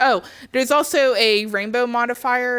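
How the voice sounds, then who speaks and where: Speaking in an ordinary speaking voice, a woman keeps a moderate pace and ordinary pitch variation. The recording is very clean, with a silent background. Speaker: gaming clan leader streamer. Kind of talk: livestream town hall meeting. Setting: live stream.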